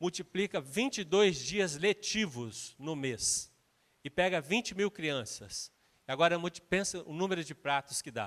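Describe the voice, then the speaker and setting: The recording is very clean with a silent background and a dry, close sound with no echo, as a man speaks with lively intonation. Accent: Minas Gerais. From Minas Gerais, Brazil. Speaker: guest preacher, missions leader. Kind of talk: sermon.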